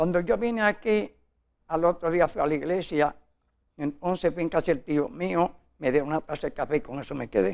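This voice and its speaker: With a quiet background, a man speaks at a high pitch with lively intonation. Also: fairly quick pace. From Puerto Rico, Morovis (rural); Puerto Rico. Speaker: interviewee telling his life story; interviewee. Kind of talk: interview, life story. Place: studio. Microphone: lapel.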